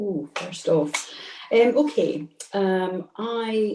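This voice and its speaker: A woman talks with a Scottish accent. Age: 60s. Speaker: community councillor. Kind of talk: webinar talk. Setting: video call.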